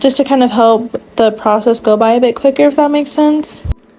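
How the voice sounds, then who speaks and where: A woman's fairly high voice at a fairly quick pace, over noticeable background noise. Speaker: nail art youtuber. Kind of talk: tutorial voiceover. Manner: halting, stuttering.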